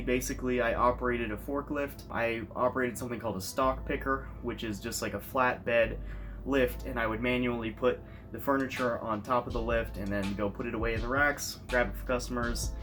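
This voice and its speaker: Over music in the background, a man talks at a fairly quick pace in an American accent. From United States. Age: 20s. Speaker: YouTuber. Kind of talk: casual vlog monologue.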